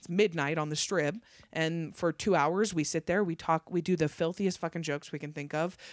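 A woman with an American accent speaks in a plain, everyday voice at a fairly quick pace, her fairly low pitch held to fairly even intonation, on a very clean recording with a silent background and a dry, close sound with no echo. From northern Nevada. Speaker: stand-up comedian. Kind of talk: casual chat. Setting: at her home.

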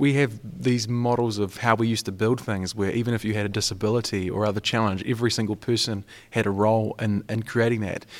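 Recorded very cleanly against a silent background, a man talks at a very fast pace with fairly even intonation. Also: fairly low pitch for a man, hardly any pauses. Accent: New Zealand. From New Zealand. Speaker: youth mental health advocate. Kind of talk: roundtable discussion.

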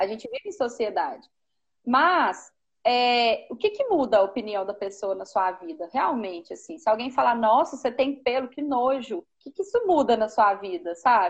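Speaking at a moderate pace, a high-pitched woman shows very wide pitch swings and big swings in loudness. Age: 30s. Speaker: preschool teacher. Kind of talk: live-stream conversation. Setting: Instagram live video call.

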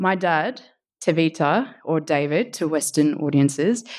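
The recording is very clean, with a silent background. A woman with an Australian accent speaks fairly slowly in a very deep, low pitch. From Australia, Sydney area. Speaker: storyteller. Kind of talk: storytelling performance.

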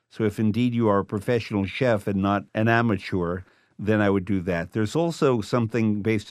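A man with a fairly low pitch speaks in an unremarkable speaking voice at a fairly quick pace. His pitch varies in an ordinary way, over a quiet background. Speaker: food writer and author. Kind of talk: interview.

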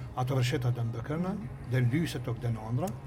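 A man at medium pitch talking at a very fast pace, with audible room echo and noticeable background noise. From Kosovo. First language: Albanian (speaking Swedish). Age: 60s. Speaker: teacher and author. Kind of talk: interview. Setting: railway café. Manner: halting.

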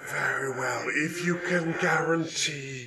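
A man puts on a raspy character voice. He talks at a very slow pace. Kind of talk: royal formal speech. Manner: regal, cool, dryly suspicious.

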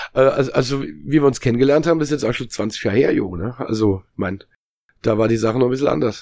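Lively in intonation and edged with vocal fry, a man's medium-pitched voice moves at a fairly quick pace. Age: 40s. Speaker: musician and former games journalist. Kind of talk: casual chat. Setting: video call.

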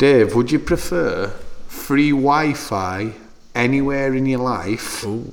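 A man with a Sheffield accent and a medium pitch speaks with lively intonation over noticeable background noise. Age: 30s. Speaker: podcast host and clothing shop owner. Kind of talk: casual chat.

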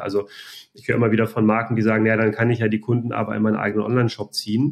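Speaking at a very fast pace, a man is heard on a very clean recording with a silent background. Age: 40s. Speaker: e-commerce company founder. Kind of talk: interview. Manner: hesitant, many filler sounds.

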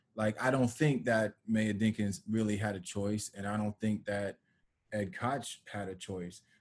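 A man with an American accent has an unremarkable speaking voice and a fairly low pitch. He talks at a fairly slow pace with fairly even intonation. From New York, Westchester. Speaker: documentary filmmaker. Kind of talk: casual interview.

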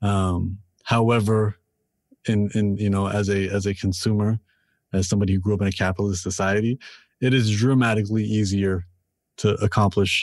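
A man with a Canadian accent, fairly low-pitched and monotone with flat intonation, at a moderate pace with long, frequent pauses and very even loudness, over a quiet background. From Canada, Toronto. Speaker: rapper and author. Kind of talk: casual interview chat. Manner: repeats words when starting sentences.

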